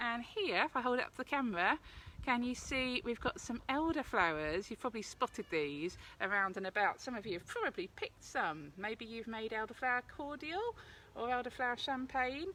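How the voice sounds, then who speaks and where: A woman with an Essex accent talks at a fairly quick pace, her high pitch and bright, sharp tone swinging very widely. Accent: South East Essex. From South East Essex, England. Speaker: forest school practitioner, cooking demonstrator. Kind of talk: live outdoor cooking tutorial. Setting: outdoors by a fire pit, live video. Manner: chatty, casual.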